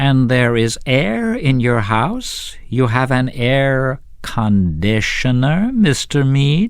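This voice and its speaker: Using a put-on, robotic character voice, a man talks at a very slow pace with a medium pitch over light background noise. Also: hardly any pauses. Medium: read story. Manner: cold, clipped, interrogating.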